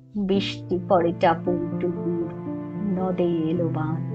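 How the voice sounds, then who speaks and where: A woman speaks with music in the background. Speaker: poetry reciter. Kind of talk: poetry reading. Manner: soulful, nostalgic.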